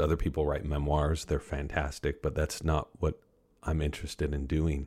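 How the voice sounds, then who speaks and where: A man with a very deep, low, somewhat breathy voice speaks in a flat monotone at a moderate pace. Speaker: author and science journalist. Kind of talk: interview, storytelling.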